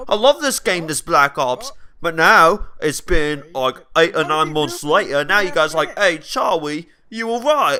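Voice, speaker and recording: A man with a Welsh accent speaks at a fairly slow pace and a high pitch. His tone is bright and sharp, with lively intonation. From South Wales. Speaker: gaming guest commentator. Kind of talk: casual gameplay commentary. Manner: animated.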